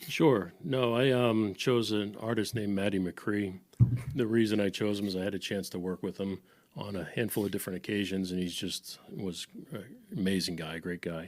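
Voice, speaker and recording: Speaking at a moderate pace in an American accent, a man with a plain, everyday voice has a fairly low pitch and ordinary pitch variation. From Boston, US. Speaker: music producer and engineer. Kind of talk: casual chat.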